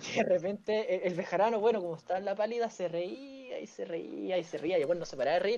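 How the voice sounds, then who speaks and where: A man with a Chilean accent talks very fast in a high voice with ordinary pitch variation, and there is noticeable background noise. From Chile, Valparaíso. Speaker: podcaster. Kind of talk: casual chat.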